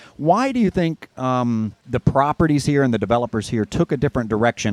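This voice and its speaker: In a normal speaking voice, a man talks at a moderate pace with ordinary pitch variation, the sound dry and close with no echo. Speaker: guest radio host. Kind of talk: radio interview.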